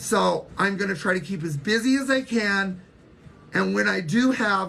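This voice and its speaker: The delivery comes at a moderate pace. It is a normal speaking voice with lively intonation. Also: woman, medium pitch for a woman. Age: 60s. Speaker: social media livestreamer. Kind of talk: casual livestream chat.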